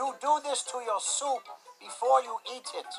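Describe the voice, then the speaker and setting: Cartoonish character voice with fairly high pitch and moderate pace, faint music in the background. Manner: slightly cranky, hard of hearing.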